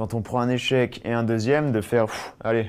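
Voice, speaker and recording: Talking at a fairly quick pace, a man uses a plain, everyday voice at medium pitch with fairly even intonation. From Savoie, France. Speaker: trial rider. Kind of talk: interview.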